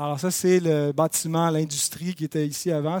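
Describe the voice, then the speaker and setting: This man's fairly high voice has ordinary pitch variation, recorded very cleanly against a silent background with a dry, close sound and no echo. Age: 30s. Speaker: church history teacher. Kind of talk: lecture. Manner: halting.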